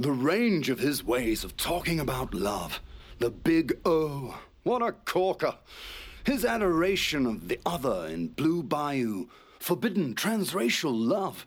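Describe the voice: A man's put-on character voice, fairly high in pitch with a slightly husky edge, big pitch swings, a slow pace and long, frequent pauses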